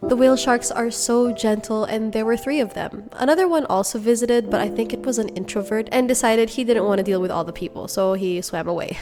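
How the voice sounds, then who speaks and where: The speaker has an animated tone and ordinary pitch variation at a fairly quick pace. Noticeable background noise runs throughout. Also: woman. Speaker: travel vlogger. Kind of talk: vlog narration. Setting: coffee shop. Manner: casual, animated.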